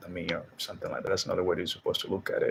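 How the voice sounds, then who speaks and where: A man speaks with a Spanish accent. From Dominican Republic. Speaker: Spanish teacher and video host. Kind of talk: casual monologue vlog. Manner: casual, halting with fillers.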